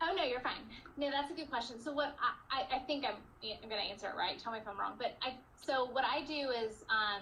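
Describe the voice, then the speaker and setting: Projecting in a raised voice, a woman speaks at a high pitch. Her pace is fairly quick and her intonation lively. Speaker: network marketing coach. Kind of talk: team training call Q&A.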